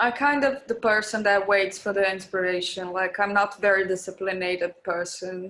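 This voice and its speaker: In a Portuguese accent, this bright, sharp voice moves at a moderate pace with fairly even intonation. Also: woman, medium pitch for a woman. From Brazil, Belo Horizonte. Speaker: music producer and DJ. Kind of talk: interview. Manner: halting.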